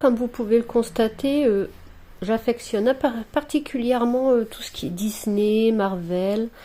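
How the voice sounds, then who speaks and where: With a dark, mellow tone, a woman talks at a fairly high pitch and a fairly slow pace. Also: ordinary pitch variation, big swings in loudness. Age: 40s. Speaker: crafts hobbyist vlogger. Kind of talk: casual show-and-tell vlog. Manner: hesitant, many fillers.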